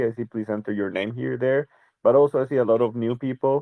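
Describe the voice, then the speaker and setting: A man's medium-pitched voice with a Spanish accent, dark and mellow in tone, with ordinary pitch variation and a dry, close sound with no echo. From Costa Rica. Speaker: crypto project communications lead. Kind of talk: podcast interview. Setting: live audio room in a chat channel.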